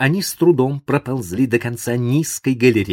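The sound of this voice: Pitch varies in an ordinary way across an unforced reading voice.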